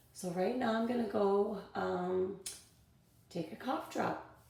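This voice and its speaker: A woman at medium pitch, with noticeable background noise and audible room echo. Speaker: teacher. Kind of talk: tutorial.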